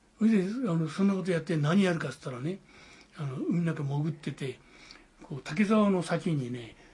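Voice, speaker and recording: Speaking with ordinary pitch variation, a man uses a high voice and keeps a moderate pace. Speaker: war veteran. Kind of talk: testimony. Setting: at home. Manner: animated.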